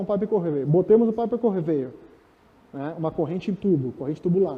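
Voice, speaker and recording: The man's pitch moves in an ordinary way. He keeps a fairly quick pace. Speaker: speaker on project management. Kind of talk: lecture. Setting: stage with audience. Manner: fast.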